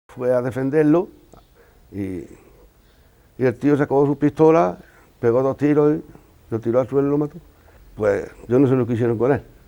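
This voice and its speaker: A man with a dark, mellow tone speaks at a moderate pace. He leaves long, frequent pauses. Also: medium pitch for a man, ordinary pitch variation. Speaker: interviewee, son of murder victim. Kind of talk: testimony. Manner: halting.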